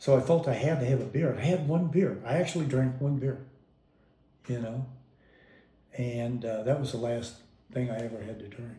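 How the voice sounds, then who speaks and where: A man with an American accent, somewhat breathy with a dark, mellow tone, ordinary pitch variation, big swings in loudness, a moderate pace, long, frequent pauses and audible room echo. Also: medium pitch for a man. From US Midwest, Kansas City. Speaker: father telling life story. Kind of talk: family oral history interview.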